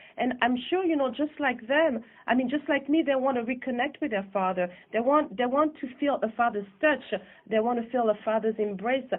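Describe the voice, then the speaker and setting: Moderate pace, very even loudness and ordinary pitch variation in a French accent. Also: woman, high pitch for a woman. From France (Paris), born in Guadeloupe. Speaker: filmmaker. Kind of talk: radio interview. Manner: halting, with many fillers.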